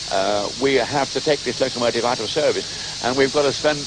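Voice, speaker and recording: There is noticeable background noise as a man talks at a very fast pace. His pitch is medium, with ordinary variation. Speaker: locomotive society chairman. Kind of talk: interview answer.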